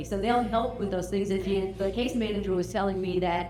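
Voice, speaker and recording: A woman's medium-pitched voice with vocal fry and fairly even intonation, in audible room echo. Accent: American. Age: old. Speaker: family reunion speaker. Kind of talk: casual talk to a gathering. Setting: family reunion gathering. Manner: halting, many fillers.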